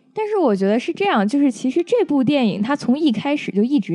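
Against a quiet background, a woman with a dark, mellow tone talks fairly quickly at a high pitch, her voice swinging very widely in pitch. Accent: Beijing. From Beijing. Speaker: film-trained guest reviewer. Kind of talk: casual film review chat.

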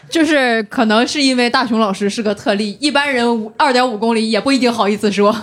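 Over noticeable background noise, a woman speaks at a fairly quick pace with hardly any pauses, using a fairly high pitch and ordinary pitch variation. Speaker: stand-up comedian with a finance job. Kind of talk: casual chat.

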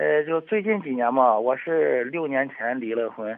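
The speaker has a normal speaking voice. The delivery is fairly slow, with lively intonation. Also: man. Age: 40s. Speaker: caller. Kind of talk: personal testimony on call-in radio.

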